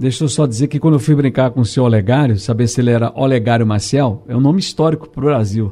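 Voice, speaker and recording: A man talks at a very fast clip with hardly any pauses. His tone is dark and mellow. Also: medium pitch for a man, ordinary pitch variation. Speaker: radio host. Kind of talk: radio call-in show hosting.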